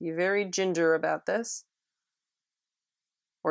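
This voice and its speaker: A quiet woman's voice, fairly low in pitch, with fairly even intonation. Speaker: watercolor art instructor. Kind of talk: tutorial. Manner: quiet during detail work; casual, filler-heavy.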